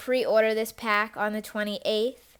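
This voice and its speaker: This is a very clean recording with a silent background. A woman speaks at a fairly high pitch in a flat, monotone way. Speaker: gaming youtuber. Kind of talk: game commentary voiceover. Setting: recorded voiceover. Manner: slow; casual, filler-heavy.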